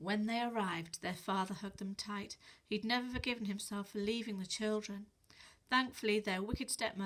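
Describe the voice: The intonation stays fairly even. It is plain reading aloud.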